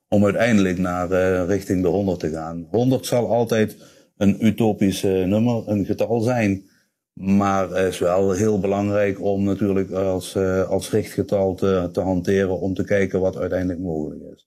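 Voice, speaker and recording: A man's dark, mellow voice with monotone, flat intonation at a fairly slow pace, on a very clean recording with a silent background. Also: fairly low pitch for a man. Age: 50s. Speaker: corporate sustainability manager. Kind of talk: interview. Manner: halting, many filler sounds.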